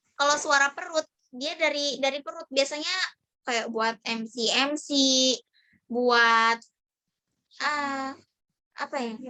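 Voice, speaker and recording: A woman speaks in a high, raised, projected voice with a bright, sharp tone. Her delivery is very slow and fairly even, broken by long, frequent pauses. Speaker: public speaking trainer; university student. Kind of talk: online training session. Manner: casual, conversational.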